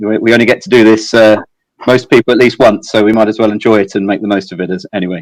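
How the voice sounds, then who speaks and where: Speaking with an English accent, a man talks at a very fast pace. His pitch is medium. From southeast England. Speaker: fintech executive. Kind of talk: interview. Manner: halting, many fillers and repetitions.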